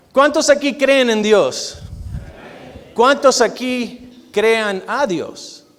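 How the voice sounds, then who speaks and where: Extremely high-pitched male voice, loud and very slow, with long, frequent pauses and audible room echo. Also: ordinary pitch variation. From Argentina. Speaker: guest preacher, physician. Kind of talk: sermon.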